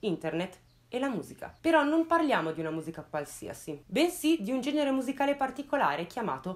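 At a fairly quick pace, a woman talks at a high pitch with very wide pitch swings. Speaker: true crime youtuber. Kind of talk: casual storytelling commentary. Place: home room. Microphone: lapel.

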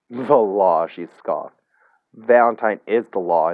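Intonation is lively as the speaker reads aloud in a natural voice. Behind the voice, the background is quiet.

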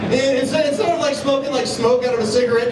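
A man speaks at a fairly quick pace. Loud background noise and audible room echo fill the recording. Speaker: stand-up comedian. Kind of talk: stand-up comedy routine. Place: stage.

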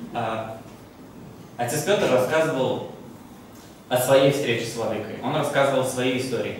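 A man talks at a fairly slow pace with long, frequent pauses and ordinary pitch variation. Strong room echo and light background noise surround him. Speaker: exhibition volunteer. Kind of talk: public talk. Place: hall.

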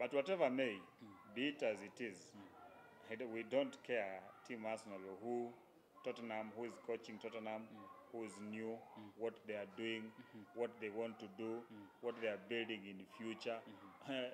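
Fairly even intonation from a male speaker, with noticeable noise behind him. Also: moderate pace. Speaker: panelist. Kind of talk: casual sports commentary. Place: studio. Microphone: handheld.

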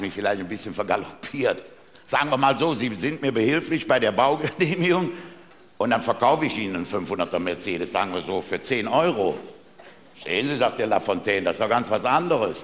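His speech comes at a very fast pace. The man's pitch swings very widely. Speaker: carnival speaker (Büttenredner). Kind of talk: carnival stage speech with jokes. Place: stage. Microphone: headset.

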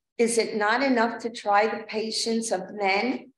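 Words come out very slowly. The room's echo can be heard. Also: woman. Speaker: worship leader. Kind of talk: liturgical prayer and announcements. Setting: church. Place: church.

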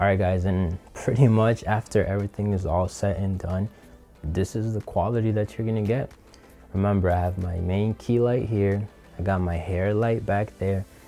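Faint music plays in the background as a man talks at a moderate pace. His fairly low pitch keeps a fairly even intonation. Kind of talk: tutorial. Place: studio. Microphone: lapel.

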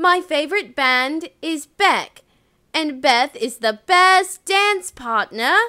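A female-sounding, put-on character voice pitched extremely high speaks at a very slow pace. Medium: voice reel. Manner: earnest, friendly.

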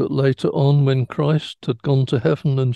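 Against a quiet background, a man speaks in a somewhat breathy voice with ordinary pitch variation and a dry sound with no echo. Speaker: religious teacher or study leader. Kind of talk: religious teaching talk. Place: home room. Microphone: headset.

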